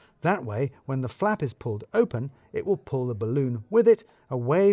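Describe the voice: Someone is reading aloud. It is plain reading.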